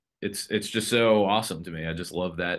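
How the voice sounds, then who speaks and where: Against a quiet background, an unremarkable speaking voice carries ordinary pitch variation. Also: man. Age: 30s. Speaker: guitarist and video game composer. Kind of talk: interview. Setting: home studio. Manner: casual, with many fillers.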